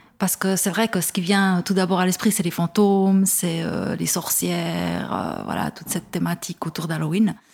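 Hardly pausing, a woman talks at a moderate pace in a monotone, flat intonation. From Switzerland, Neuchâtel. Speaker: first-time fiction author. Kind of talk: interview. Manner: hesitant, many fillers.

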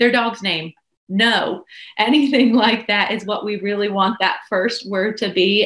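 Here is a woman with a plain, everyday voice at a medium pitch. She goes at a fairly slow pace with ordinary pitch variation. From Pennsylvania, Pittsburgh area. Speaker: speech language pathologist. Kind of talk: interview.

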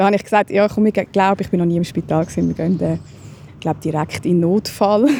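A woman rattles along very fast at a medium pitch, with ordinary pitch variation. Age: 30s. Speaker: stroke survivor. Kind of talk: testimony. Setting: outdoors.

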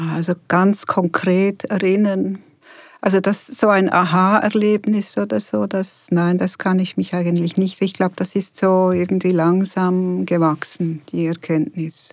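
A woman with a plain, everyday voice, at a fairly slow pace and very even loudness. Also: medium pitch for a woman. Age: 60s. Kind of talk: interview. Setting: studio.

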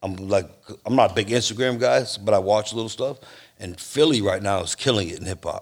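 At a fairly quick pace and medium pitch, a man talks in a normal speaking voice, recorded very cleanly over a silent background. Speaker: podcast co-host. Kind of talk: casual chat. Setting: motorcycle shop.

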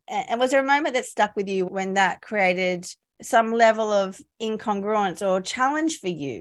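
At a moderate tempo, a woman talks in an unremarkable speaking voice. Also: fairly high pitch for a woman, lively intonation, very clean recording, silent background. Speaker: career coach and podcaster. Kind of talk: interview.

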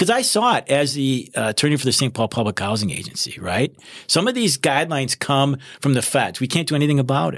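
At a very fast pace, a man with a fairly high pitch and lively intonation speaks with vocal fry. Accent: American. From Wisconsin. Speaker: criminal prosecutor. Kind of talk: casual interview.

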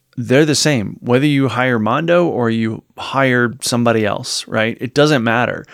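An unremarkable speaking voice, from a man. He keeps a moderate pace with ordinary pitch variation. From Virginia, US South. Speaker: podcast co-host. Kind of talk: casual chat, podcast discussion. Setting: video podcast.

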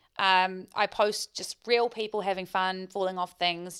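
A woman speaks at a fairly slow pace in a New Zealand accent, her pitch medium. The recording is very clean, with a silent background. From New Zealand, Queenstown. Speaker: business owner and marketing director. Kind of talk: interview.

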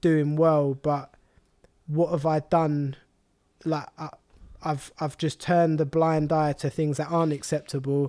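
Fairly slow, fairly high-pitched male speech in a dark, mellow tone, monotone and flat, broken by long, frequent pauses, on a very clean recording with a silent background. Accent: London. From London (Walthamstow), England. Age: 20s. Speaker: meal prep business founder. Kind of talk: casual interview.

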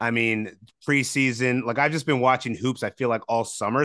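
A man speaks very fast in a medium pitch. His tone is bright and sharp, with fairly even intonation. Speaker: fantasy basketball analyst. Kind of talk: casual sports analysis chat. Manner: relaxed.

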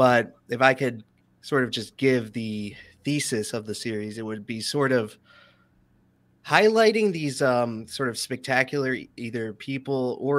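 A man with an ordinary speaking voice at a medium pitch, fairly slow pace and fairly even intonation. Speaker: YouTube documentarian. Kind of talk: casual interview chat. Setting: live stream.

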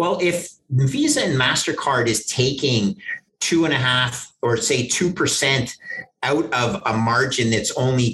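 With a Canadian accent, a man talks in an ordinary speaking voice at a medium pitch, using ordinary pitch variation. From Canada. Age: 50s. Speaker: investment manager. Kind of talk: interview.

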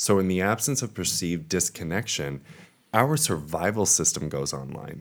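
With an American accent, a man speaks in a very deep, low voice with vocal fry and very wide pitch swings. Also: moderate pace. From Long Island, New York. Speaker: astrologer. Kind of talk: casual chat.

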